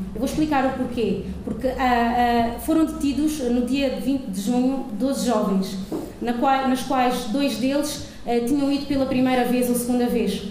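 A high-pitched woman at a fairly slow pace, with very even loudness and fairly even intonation, amid light background noise and audible room echo. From Angola. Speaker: audience member. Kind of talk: audience remarks. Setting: stage with audience. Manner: halting. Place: hall. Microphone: handheld.

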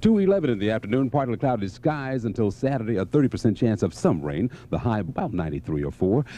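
A man talks at a very fast pace, barely pausing, with very wide pitch swings and an upbeat tone. His tone is dark and mellow, and the sound is dry with no echo. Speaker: radio DJ. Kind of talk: radio DJ air check. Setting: radio studio. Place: studio. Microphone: studio mic.

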